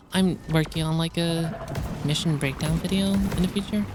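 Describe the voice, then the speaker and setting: Mumbled speech at a moderate pace with music in the background. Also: woman. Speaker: gamer. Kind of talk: gameplay commentary. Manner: occasionally mumbling, hesitant.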